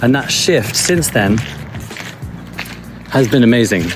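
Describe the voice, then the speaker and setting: Noticeable background noise sits behind a man's calm voice. He holds a medium pitch at a moderate pace. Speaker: life coach vlogger. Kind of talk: walking vlog monologue. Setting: outdoors in forest. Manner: soft-spoken.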